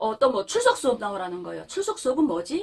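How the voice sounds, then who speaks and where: With a North Korean accent, a woman speaks in a high voice with very wide pitch swings. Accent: North Korean intonation, high-pitched. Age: 30s. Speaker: North Korean defector vlogger. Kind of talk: casual storytelling monologue.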